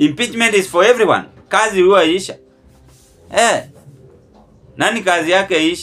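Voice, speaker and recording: This man has a high-pitched voice, speaks at a moderate pace with ordinary pitch variation, and leaves long, frequent pauses. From Kenya. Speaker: political commentary vlogger. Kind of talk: political commentary monologue. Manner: animated. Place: home room. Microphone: phone near.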